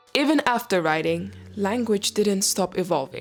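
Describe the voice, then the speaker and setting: Over music in the background, a woman with a non-native accent speaks fairly slowly at medium pitch. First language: not English. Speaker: educational youtuber. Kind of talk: reading a script with asides. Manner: halting.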